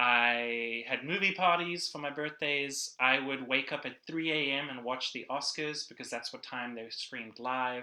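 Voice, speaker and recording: A man's medium-pitched, bright, sharp voice with a South African accent, fairly even intonation and a fairly slow pace. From South Africa, Cape Town. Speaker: church production director and filmmaker. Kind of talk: casual interview.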